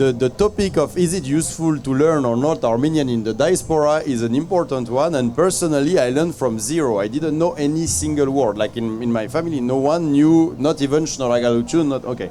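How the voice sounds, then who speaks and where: A man talks fairly quickly at a fairly high pitch, with noticeable background noise behind him. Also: ordinary pitch variation, hardly any pauses. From France. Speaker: travel guide author on Armenian diaspora. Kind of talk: panel discussion. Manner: halting, many repetitions.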